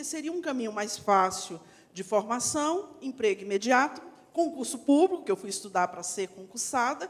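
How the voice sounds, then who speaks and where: A woman talks at a moderate pace in a high pitch. Her pitch swings very widely and her loudness rises and falls sharply. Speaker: actress and teacher. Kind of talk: panel discussion.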